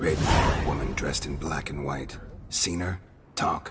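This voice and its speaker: At a moderate pace, a man performs a put-on character voice pitched very deep and low. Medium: video game. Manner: terse, deadpan, gravelly understatement.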